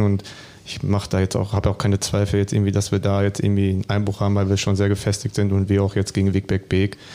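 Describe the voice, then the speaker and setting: This man has a fairly low pitch and a monotone, flat intonation. He talks at a very fast pace over noticeable background noise. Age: 20s. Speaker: footballer. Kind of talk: casual chat.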